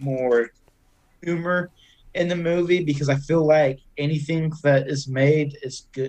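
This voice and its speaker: With a Southern US accent, a man with a fairly high pitch talks at a fairly slow pace in fairly even intonation. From Arkansas. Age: 20s. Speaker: podcaster. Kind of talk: casual chat.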